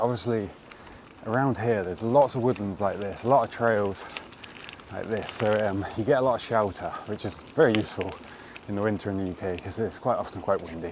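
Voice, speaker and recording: A man speaks with ordinary pitch variation at a fairly low pitch. Noticeable background noise runs beneath his voice. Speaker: bikepacking vlogger. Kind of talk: casual vlog talk to camera. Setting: outdoors on bike ride. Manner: relaxed, hesitant with fillers.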